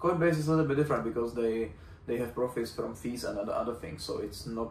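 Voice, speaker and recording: Amid audible room echo, a man with a Czech accent speaks very fast with lively intonation. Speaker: fitness coach and vlogger. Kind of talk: casual vlog monologue. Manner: halting, searching for words.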